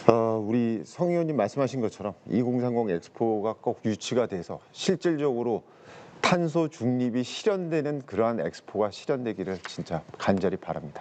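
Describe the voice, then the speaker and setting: With noticeable background noise behind him, a man speaks at a moderate pace using very wide pitch swings. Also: medium pitch for a man. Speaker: professor. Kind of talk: panel discussion.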